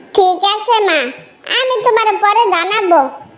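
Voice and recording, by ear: This cartoonish character voice is squeaky, with ordinary pitch variation. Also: woman, extremely high pitch for a woman.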